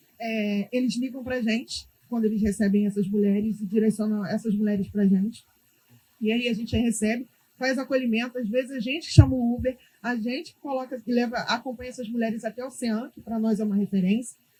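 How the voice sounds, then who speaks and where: The speaker talks at a fairly quick pace with fairly even intonation. The tone is dark and mellow, somewhat breathy. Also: woman, fairly high pitch for a woman. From Brazil, Rio de Janeiro favela. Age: 30s. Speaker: community activist, founder of women's group. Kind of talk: panel discussion.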